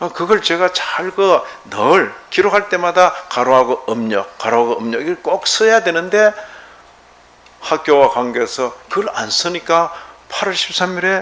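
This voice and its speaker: Lively intonation comes through at a fairly slow pace over noticeable background noise. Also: man, high pitch for a man. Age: 70s. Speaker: pastor. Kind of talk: sermon. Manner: conversational, rhetorical questions.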